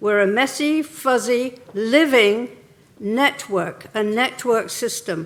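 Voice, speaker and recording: Speaking in an English accent, a woman keeps to a fairly high pitch. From England. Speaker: keynote speaker on regenerative tourism. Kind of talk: conference keynote talk.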